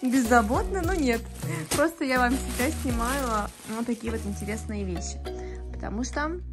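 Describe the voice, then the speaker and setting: A woman's moderately paced speech is accompanied by clear music in the background. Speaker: home vlogger. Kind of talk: casual vlog chat. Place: home room. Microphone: phone near.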